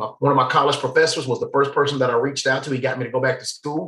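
A man with a fairly high pitch, in a Southern US accent. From US South. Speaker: faith outreach director, recovery advocate. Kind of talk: casual interview chat. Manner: loud, animated.

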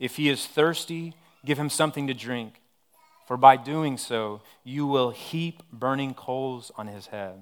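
A fairly slow delivery in an American accent, with ordinary pitch variation. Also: man. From West Texas (Odessa). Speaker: pastor. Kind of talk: sermon. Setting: church service.

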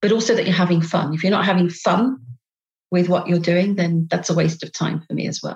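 With a British accent, a woman speaks at a fairly quick pace. Her voice is fairly low and somewhat breathy. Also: fairly even intonation. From England. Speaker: business co-founder and consultant. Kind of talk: casual interview.

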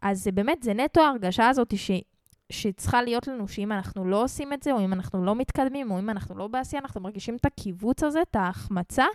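A woman speaks at a very fast pace and a fairly high pitch in a dry, close sound with no echo, on a very clean recording with a silent background. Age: 20s. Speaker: podcast host, rapper and music marketing coach. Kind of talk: casual monologue. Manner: casual, filler-heavy.

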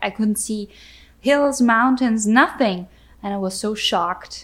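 Her pitch medium and her intonation fairly even, a woman talks at a fairly slow pace. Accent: German. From Austria. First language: German. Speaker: battery industry entrepreneur and podcast host. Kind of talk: casual chat. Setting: at home on the couch by the fireplace.

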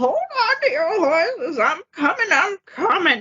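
A woman puts on a character voice, pitched extremely high and swinging very widely in pitch at a very slow pace.

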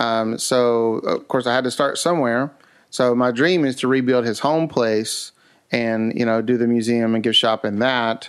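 A man with an Appalachian accent at a medium pitch, fairly slow and fairly even in intonation, over a quiet background. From US South, West Virginia Appalachia. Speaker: museum founder. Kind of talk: casual interview.

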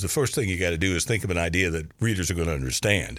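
Against a silent background on a very clean recording, the pitch moves in a normal way. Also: man. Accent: slight Kentucky. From Kentucky, US. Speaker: cartoonist. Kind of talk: casual interview chat. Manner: halting, filler-heavy.

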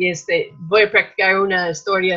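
A woman with an American accent talks at a medium pitch in a bright, sharp tone. Her intonation stays monotone and flat. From US Midwest, Minnesota. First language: English (speaking Spanish). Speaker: missionary. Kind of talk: casual chat. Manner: hesitant, many fillers.

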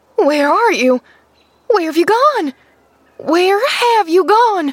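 A woman performs a put-on character voice at an extremely high pitch with very wide pitch swings. She speaks at a very slow pace with very even loudness. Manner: fierce then alarmed.

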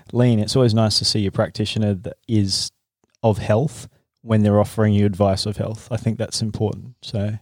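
Speaking fairly quickly with an Australian accent, a man uses a fairly low pitch and a flat, monotone delivery. The recording is very clean, with a silent background and a dry, close sound with no echo. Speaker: podcast host and acupuncturist. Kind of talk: casual interview. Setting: in a clinic.

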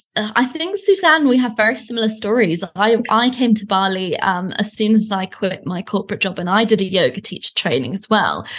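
A woman with a British accent speaks at a fairly quick pace, with hardly any pauses. Her voice is fairly high and its pitch varies in an ordinary way, over a quiet background. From Britain. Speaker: online business coach. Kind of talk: casual interview chat. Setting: audio call, remote.

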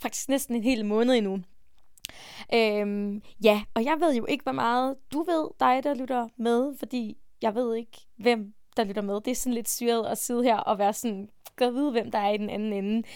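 This woman has an ordinary speaking voice, fairly high in pitch, with ordinary pitch variation at a moderate pace. Her recording is very clean against a silent background. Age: 20s. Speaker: podcast host and self-esteem coach. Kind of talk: casual monologue.

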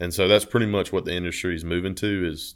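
In an Alabama accent, a man talks at a very fast pace with fairly even intonation on a very clean recording with a silent background. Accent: Southern US (Alabama). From Alabama, US South (Leeds). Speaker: engineering graduate and former college athlete. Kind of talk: casual chat.

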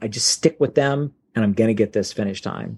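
In a plain, everyday voice, a man talks at a moderate pace with ordinary pitch variation, the sound dry and close with no echo. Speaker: race pacer coordinator. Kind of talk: interview.

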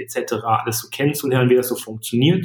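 A man speaks in a somewhat breathy voice. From Germany, Sauerland (Iserlohn area). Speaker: startup founder. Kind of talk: interview.

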